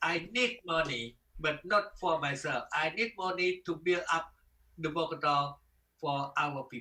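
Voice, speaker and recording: A man with a fairly high pitch, a bright, sharp tone, ordinary pitch variation and a fairly slow pace. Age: 70s. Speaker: martial arts grandmaster. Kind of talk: interview. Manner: halting.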